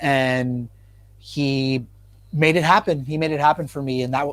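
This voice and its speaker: At a fairly slow pace, a man with an unremarkable speaking voice and fairly high pitch is heard on a very clean recording with a silent background. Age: 20s. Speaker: guitarist and producer. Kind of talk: casual chat.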